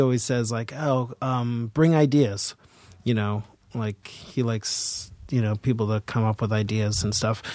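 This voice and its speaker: A man's normal speaking voice at medium pitch, fairly slow and fairly even in intonation, dry and close with no echo, on a very clean recording with a silent background. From Boston. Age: 40s. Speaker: actor and filmmaker. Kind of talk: casual interview chat. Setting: studio with headphones.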